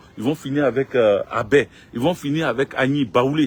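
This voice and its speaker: The man talks at a moderate pace with a medium pitch, ordinary pitch variation and a somewhat breathy quality. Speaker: political commentator. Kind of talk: live stream monologue.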